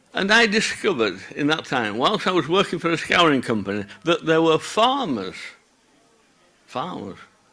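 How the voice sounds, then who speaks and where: Pitched fairly high, a man's voice proceeds at a moderate speed. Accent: Yorkshire. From Yorkshire, northern England (Bradford). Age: 60s. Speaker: wool processor, conference speaker. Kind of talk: conference talk. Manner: conversational, with many filler sounds.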